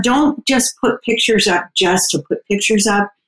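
Here is a woman with an unremarkable speaking voice and a fairly high pitch. She talks at a fairly slow pace with lively intonation in a dry, close sound with no echo. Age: 60s. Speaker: dating coach. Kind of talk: casual interview.

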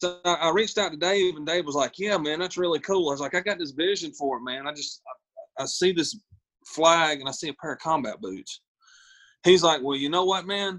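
A man with a Southern US accent talks at a fairly quick pace. His voice is high-pitched, with ordinary pitch variation. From US South, South Carolina. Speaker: singer-songwriter and Marine veteran. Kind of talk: interview conversation. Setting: video call.

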